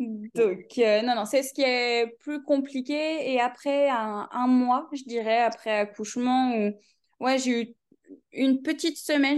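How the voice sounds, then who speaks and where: Against a quiet background, a woman with a high-pitched voice speaks very slowly. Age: 20s. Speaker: new mother sharing birth story. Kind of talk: personal testimony interview. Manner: laughs often.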